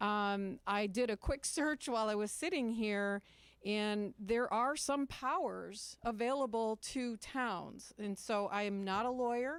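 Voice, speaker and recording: On a very clean recording with a silent background, a woman with a fairly high voice speaks at a fairly slow pace with ordinary pitch variation. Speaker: resident speaking at public comment. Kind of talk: public comment at town meeting. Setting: town council meeting room, microphone. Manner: unprepared, conversational.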